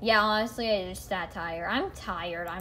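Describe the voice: A woman uses a put-on character voice that sounds whiny. Her pitch is medium and her pace moderate.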